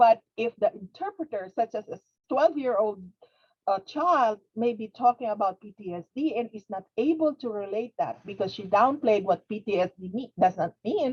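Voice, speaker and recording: A woman's fairly high, somewhat breathy voice at a moderate pace, with lively intonation and big swings in loudness. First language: not English. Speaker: webinar presenter, behavioral health interpreter trainer. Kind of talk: webinar lecture. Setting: webinar. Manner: halting, repetitive.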